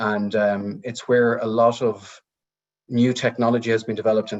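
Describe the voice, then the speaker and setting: Against a quiet background, a man with an Irish accent speaks at a medium pitch. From rural Ireland. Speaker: technology research director and speaker. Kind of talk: webinar talk. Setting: video call.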